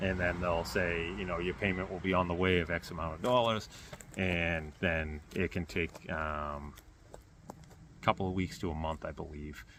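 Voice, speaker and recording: Over noticeable background noise, a man speaks with a very deep, low pitch and fairly even intonation. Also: moderate pace. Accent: Boston. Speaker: YouTuber. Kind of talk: casual vlog talk to camera. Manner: rambling, hesitant with fillers.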